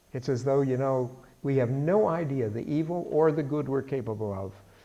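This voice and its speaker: At a moderate pace, a man speaks in a dark, mellow tone with audible room echo. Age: 70s. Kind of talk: bible study lecture. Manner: conversational.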